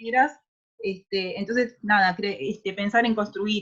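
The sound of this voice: Talking at a slow pace, a woman uses a medium pitch, fairly even intonation and a fairly bright tone.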